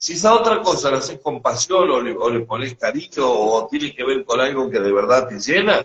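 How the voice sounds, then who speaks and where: Speaking with a Rioplatense accent, this man has a fairly high pitch with very wide pitch swings. He keeps a moderate pace with hardly any pauses. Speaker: spiritual teacher. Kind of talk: casual conversation. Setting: live stream.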